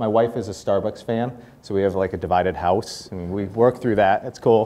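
A man talks at a fairly quick pace with a fairly low pitch. His intonation is fairly even. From Boston. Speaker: corporate speaker and networking evangelist. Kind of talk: guest talk to students. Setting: live talk to small audience. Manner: friendly, casual, humorous. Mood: light, humorous anecdote. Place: classroom.

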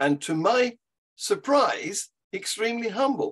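Very wide pitch swings from a man with an English accent, over a quiet background. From England. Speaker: atheist activist; podcast guest or co-host. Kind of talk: casual chat. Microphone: video call.

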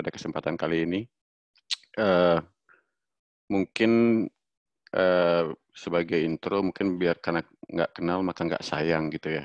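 A man speaks with a very deep, low pitch and fairly even intonation. The sound is dry with no echo and the background is quiet. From Bali. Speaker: freelance designer and social media specialist. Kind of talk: online workshop presentation. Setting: video call. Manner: hesitant, many filler sounds. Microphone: video call.

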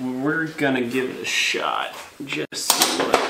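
The voice moves at a fairly slow pace with ordinary pitch variation. Noticeable background noise can be heard. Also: man. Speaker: hobby welding host. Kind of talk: tutorial.

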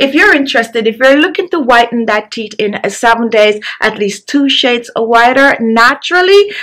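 A woman's high pitch and lively intonation, hardly any pauses, over a quiet background. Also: moderate pace. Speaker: beauty channel host. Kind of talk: tutorial. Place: home room. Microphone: phone near.

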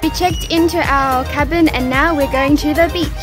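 The clip has music in the background, a moderate pace, and a dry sound with no echo. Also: woman. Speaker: travel vlogger. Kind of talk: vlog narration.

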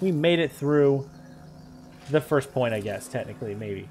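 With music in the background, a man talks at a moderate pace. His pitch is fairly high and varies in an ordinary way. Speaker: gaming YouTuber. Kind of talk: let's play commentary. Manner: animated. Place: home room. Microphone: headset.

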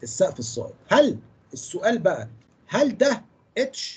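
The speaker talks at a fairly slow pace in an Egyptian accent. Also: man. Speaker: engineering lecturer. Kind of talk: lecture. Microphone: video call.

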